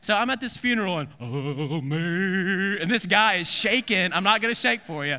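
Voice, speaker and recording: A man's high, bright, sharp voice, raised and projected, with lively intonation, a moderate pace and hardly any pauses. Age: 30s. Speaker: pastor. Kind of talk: sermon. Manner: halting.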